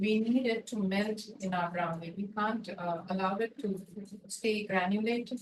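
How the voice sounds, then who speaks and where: Soft-spoken and somewhat breathy, a woman keeps her intonation fairly even. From India, Mumbai. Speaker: baking instructor. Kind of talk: tutorial.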